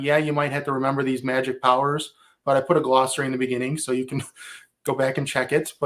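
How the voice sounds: A man with a Midwestern accent speaks at a very fast pace. His fairly high pitch stays monotone and flat.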